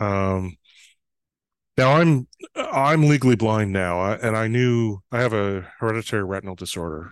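In a Canadian accent, a man talks at a moderate pace with ordinary pitch variation in a plain, everyday voice. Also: fairly low pitch for a man. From northern Canada, small town. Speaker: trust consultant. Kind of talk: interview.

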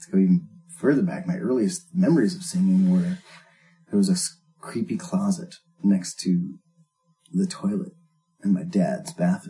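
A somewhat breathy man with an American accent, fairly high in pitch, with very wide pitch swings. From rural US, countryside near Jamestown. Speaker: musician. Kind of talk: casual chat.

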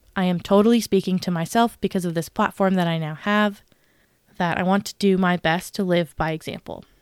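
An unremarkable speaking voice moves at a moderate pace with fairly even intonation. The sound is dry and close with no echo, on a very clean recording against a silent background. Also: woman. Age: 20s. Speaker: podcast host. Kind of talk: casual Bible study talk.

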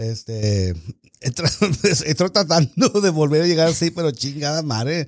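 Heard in a very clean recording with a silent background, a man with a normal speaking voice and a fairly high pitch speaks at a fairly slow pace with lively intonation. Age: 40s. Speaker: podcast co-host. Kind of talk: casual chat.

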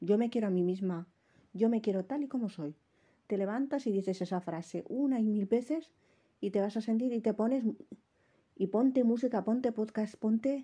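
Against a quiet background, a woman with a dark, mellow tone and fairly high pitch speaks at a moderate pace, somewhat breathy, with ordinary pitch variation and long, frequent pauses. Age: 30s. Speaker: podcaster. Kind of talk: casual monologue.

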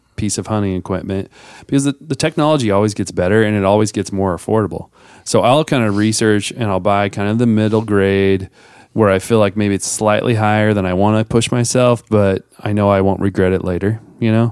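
Recorded very cleanly against a silent background, a man with a plain, everyday voice talks at a fairly quick pace in a fairly low pitch with fairly even intonation. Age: 40s. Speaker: podcast host. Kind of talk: casual chat. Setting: studio.

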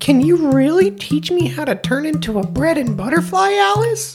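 A woman's put-on character voice, fairly low in pitch, with lively intonation at a moderate pace over clear background music. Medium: read story.

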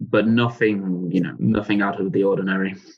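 A man with an English accent, fairly low in pitch, at a moderate pace. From England. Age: 20s. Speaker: legal assistant at a European court. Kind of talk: interview.

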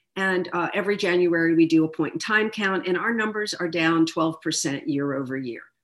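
A woman's normal speaking voice, fairly low in pitch, with lively intonation and an American accent. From Philadelphia. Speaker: politician. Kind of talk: interview. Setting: video call.

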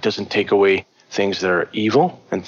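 Noticeable background noise fills the clip. The talking is fairly quick. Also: man. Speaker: psychotherapist and shamanism teacher. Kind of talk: interview conversation. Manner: halting, many repetitions and fillers; natural, unaffected.

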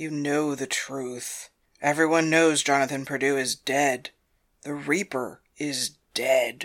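A man uses a put-on character voice at a fairly high pitch, flat and monotone, at a fairly slow pace. The recording is very clean with a silent background. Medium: audio drama. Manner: dry, cautionary.

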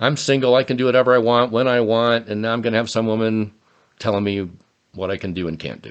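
Fairly even in intonation, a man talks at a very fast pace. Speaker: podcast co-host. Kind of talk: casual chat. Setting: studio.

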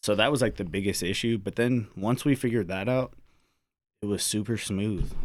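An unremarkable speaking voice, a man talks at a fairly quick pace in a fairly low pitch with ordinary pitch variation. The recording is very clean, with a silent background. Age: 30s. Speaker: army soldier and father. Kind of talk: casual chat. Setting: studio.

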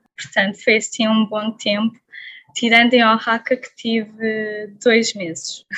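At a fairly slow pace, a woman with a normal speaking voice talks at fairly high pitch, her intonation fairly even but her loudness swinging widely. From Portugal. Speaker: traveller. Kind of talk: interview.

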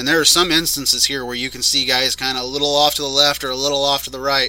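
In a bright, sharp, fairly high voice, a man talks at a very fast pace. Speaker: podcast host. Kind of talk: casual chat reviewing monster truck footage.

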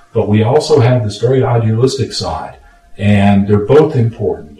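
A man with an American accent speaks at a moderate pace and a fairly low pitch. His pitch varies in an ordinary way, and noticeable background noise is present. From Los Angeles, California. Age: 60s. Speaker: retired lawyer and radio producer. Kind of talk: casual chat. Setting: home studio.

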